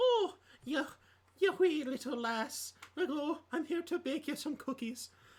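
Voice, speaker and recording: Someone uses a put-on character voice with an Irish accent at a high pitch. The pace is fairly slow. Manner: cheery, sing-song.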